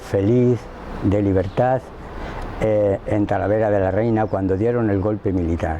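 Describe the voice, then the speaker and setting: A man's intonation stays fairly even while noticeable background noise carries on. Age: 60s. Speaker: witness to family history. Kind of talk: testimony. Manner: halting.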